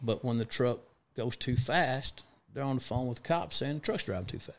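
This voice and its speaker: In a Texas accent, a man speaks at a medium pitch. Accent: Texas drawl. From West Texas (Big Spring). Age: 40s. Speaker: trucking fleet owner. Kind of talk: casual interview chat. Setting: studio.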